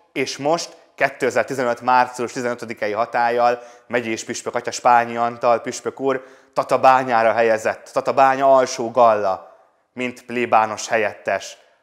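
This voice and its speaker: Against a quiet background, a man talks at a very slow pace in a flat, monotone way. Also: medium pitch for a man. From Budaörs, Hungary; Hungary. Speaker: priest. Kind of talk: testimony. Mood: warm, smiling, nostalgic. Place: home room. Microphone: lapel.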